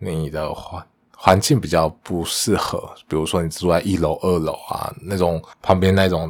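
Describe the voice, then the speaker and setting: Speaking at a moderate pace, a man uses a very deep, low pitch with fairly even intonation. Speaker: podcast host, engineer. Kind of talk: casual solo monologue.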